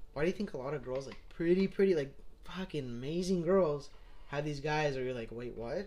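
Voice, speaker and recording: An unremarkable speaking voice from a man, at a fairly quick pace with ordinary pitch variation. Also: fairly high pitch for a man. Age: 20s. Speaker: podcast co-host. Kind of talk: casual chat.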